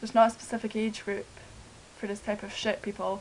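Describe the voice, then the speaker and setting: A woman's fairly high voice in a flat monotone. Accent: Scottish. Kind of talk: casual talk to camera.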